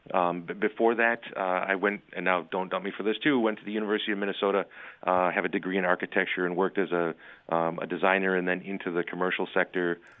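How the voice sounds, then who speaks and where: This man has an American accent and a very deep, low pitch. He talks at a very fast pace. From Wisconsin, Lake Country area. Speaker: builders association director. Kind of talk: radio interview. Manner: halting, many fillers.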